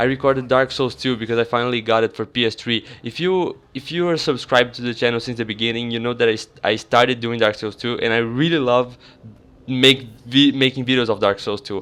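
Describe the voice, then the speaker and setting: A man talks at a fairly quick pace in a medium pitch, his intonation fairly even. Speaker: gaming YouTuber. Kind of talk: casual vlog talk to viewers. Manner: halting, self-correcting.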